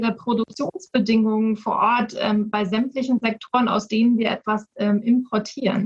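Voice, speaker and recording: At a fairly slow pace, a woman with a fairly high pitch and an ordinary speaking voice talks with fairly even intonation in a dry, close sound with no echo. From Hamburg, northern Germany. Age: 30s. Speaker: politician. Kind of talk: panel discussion.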